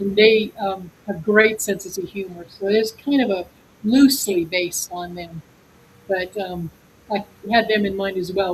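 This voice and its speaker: With an American accent, a woman speaks in a somewhat breathy voice at medium pitch, her intonation fairly even. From North Dakota and Montana, US. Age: 70s. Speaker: author. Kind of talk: interview.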